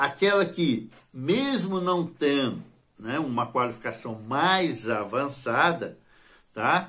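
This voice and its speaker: Very slow in pace, a man speaks with a bright, sharp tone, a fairly high pitch and lively intonation. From Brazil. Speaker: channel host. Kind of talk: tutorial. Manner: hesitant, with frequent filler words. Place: home room. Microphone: phone near.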